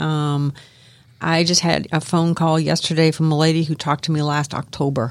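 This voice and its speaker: A woman with an ordinary speaking voice, fairly low in pitch, with fairly even intonation, on a very clean recording with a silent background. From Miami, Florida. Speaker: aromatherapist. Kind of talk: radio interview. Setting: radio studio.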